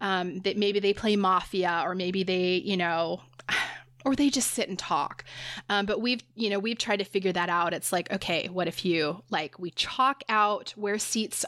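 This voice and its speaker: A plain, everyday voice at a moderate pace, with fairly even intonation, on a very clean recording with a silent background. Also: woman. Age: 40s. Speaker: podcast host, psychotherapist. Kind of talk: casual chat.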